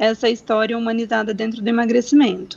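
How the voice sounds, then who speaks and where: A woman with a normal speaking voice, fairly high in pitch, at a moderate pace. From Brazil, Mato Grosso do Sul. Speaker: doctor. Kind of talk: interview.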